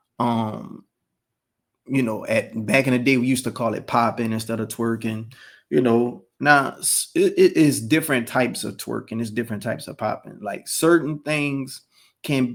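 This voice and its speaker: On a very clean recording with a silent background, a man with a medium pitch talks at a moderate pace with ordinary pitch variation. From New Orleans, Louisiana. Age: 30s. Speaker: commentary vlogger. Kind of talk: opinion monologue.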